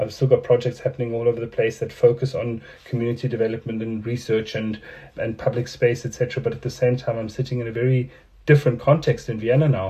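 A man talks at a very fast pace in a dark, mellow, somewhat breathy tone. His intonation is monotone and flat. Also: medium pitch for a man. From South Africa. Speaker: artist. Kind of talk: interview. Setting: video call.

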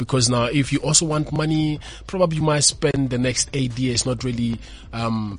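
The pitch moves in an ordinary way while noticeable background noise runs underneath. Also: man. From South Africa, Pretoria (Mamelodi). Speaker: motivational speaker. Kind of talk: interview. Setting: studio.

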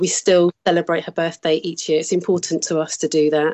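A woman with a Birmingham accent speaks in a very deep, low pitch with monotone, flat intonation. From Birmingham, England. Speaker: bereaved mother. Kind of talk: interview.

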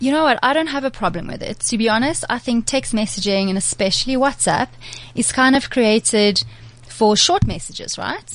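Lively intonation at a moderate pace, with vocal fry. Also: woman, fairly high pitch for a woman. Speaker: PR and digital freelancer, blogger. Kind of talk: casual chat. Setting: studio.

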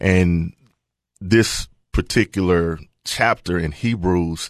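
A man's very deep, low voice with a Tennessee accent, dry and close with no echo, over a quiet background. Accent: Tennessee Southern US. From Middle Tennessee, rural area near Murfreesboro. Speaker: pastor. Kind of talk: casual chat. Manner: halting, many fillers.

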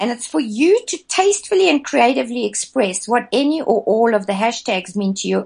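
A woman talks at a fairly quick pace. Her tone is animated and somewhat breathy. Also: quiet background. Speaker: charity project founder. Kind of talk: radio interview. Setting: Skype call.

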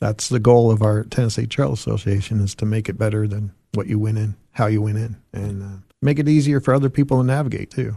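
Talking at a very fast pace, a man with an American accent has a fairly low, somewhat breathy voice, a dark, mellow tone and ordinary pitch variation. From Arizona. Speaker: hiking club chairperson. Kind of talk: radio interview.

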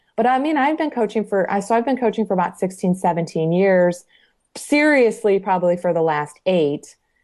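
Speaking in a normal speaking voice with an American accent, a woman at medium pitch keeps a moderate pace, lively intonation and very even loudness in a very clean recording with a silent background. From Michigan, US Midwest. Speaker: triathlete and coach. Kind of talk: interview.

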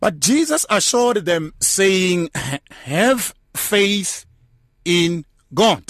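A man's high-pitched, warm voice with lively intonation, very slow pace and long, frequent pauses. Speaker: radio host. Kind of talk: radio talk show. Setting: studio. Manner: warm, pastoral.

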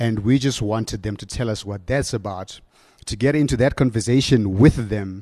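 With a South African accent, a man at medium pitch speaks in a dark, mellow tone. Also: ordinary pitch variation, moderate pace. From South Africa, Limpopo. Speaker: radio station manager. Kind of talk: conference talk. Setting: stage with audience. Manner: halting, many repetitions.

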